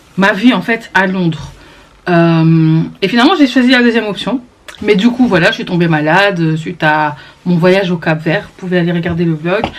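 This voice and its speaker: A woman speaks in an animated tone with ordinary pitch variation. Noticeable background noise sits behind her. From Belgium, Brussels. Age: 20s. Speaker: vlogger. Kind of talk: vlog monologue to camera.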